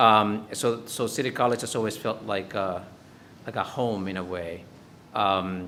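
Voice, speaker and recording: In a Spanish accent, the speaker talks at a fairly slow pace with monotone, flat intonation and a bright, sharp tone, with audible room echo. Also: man. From Dominican Republic, then New York from age 12. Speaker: professor. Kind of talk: lecture. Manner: halting, many fillers.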